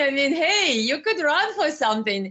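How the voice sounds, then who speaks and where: Very wide pitch swings from a woman. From Ukraine. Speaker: online interviewer. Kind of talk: interview.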